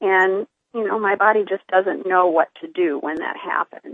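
A woman's normal speaking voice, medium in pitch, at a moderate pace with ordinary pitch variation. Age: 50s. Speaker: nurse practitioner and cancer patient. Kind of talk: casual interview.

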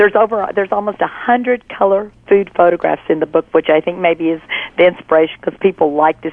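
A woman with a Southern US accent and a fairly low pitch speaks at a very fast pace with ordinary pitch variation. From Texas, Fort Worth. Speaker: cookbook author. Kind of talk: interview.

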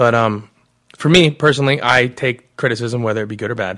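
Speaking a bit quickly, a man with an American accent uses a normal speaking voice at medium pitch with ordinary pitch variation. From Arizona. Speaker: commercial actor and producer. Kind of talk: interview.

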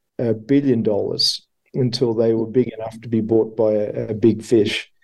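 A man speaks in an Australian accent at a moderate pace. His medium pitch stays monotone, with flat intonation. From Australia, Melbourne. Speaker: marketer and company co-founder. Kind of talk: interview.

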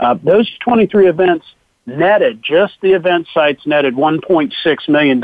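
Pitched fairly high with ordinary pitch variation, a man talks in an unremarkable speaking voice. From Ohio. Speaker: charity executive director. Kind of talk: radio interview.

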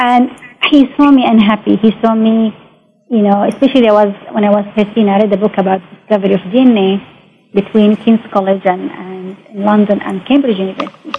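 A woman speaks with an Arabic accent at a medium pitch. Her intonation stays fairly even. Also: moderate pace. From Saudi Arabia, Mecca. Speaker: biotechnologist and science entrepreneur. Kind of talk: interview. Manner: halting.

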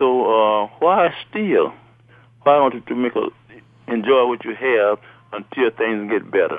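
A man with a Southern US accent, lively intonation, a fairly slow pace and long, frequent pauses. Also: medium pitch for a man. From US South, Alabama. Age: 70s. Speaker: retiree, father of host. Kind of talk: casual chat. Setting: phone call. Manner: animated.

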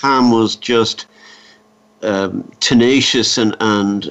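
A man with an Irish accent, medium pitch and fairly even intonation. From Ireland, midlands. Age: 50s. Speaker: cancer survivor. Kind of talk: interview.

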